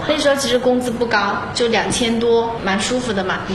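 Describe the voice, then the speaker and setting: Amid noticeable background noise and audible room echo, a woman speaks at a fairly quick pace with a fairly high pitch. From Xinhua, Loudi, Hunan. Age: 30s. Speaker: makeup and photography entrepreneur. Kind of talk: interview testimony.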